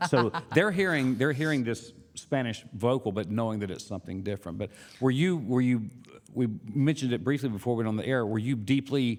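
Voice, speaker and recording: A man with an American accent talks at a fairly quick pace in a plain, everyday voice. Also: medium pitch for a man, ordinary pitch variation. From US South. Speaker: radio host and bandleader. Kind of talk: casual interview chat. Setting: radio studio.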